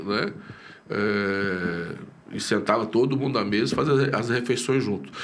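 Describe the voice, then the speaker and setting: A fairly slow pace with audible room echo. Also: man. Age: 60s. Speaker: pastor. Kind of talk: casual interview chat. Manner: hesitant, many fillers and repeats.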